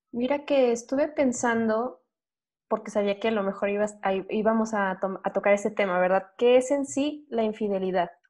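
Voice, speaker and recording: Over a quiet background, a woman with an ordinary speaking voice talks at a moderate pace, her fairly high pitch showing ordinary variation. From Durango, Mexico. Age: 20s. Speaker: podcaster. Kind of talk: casual chat.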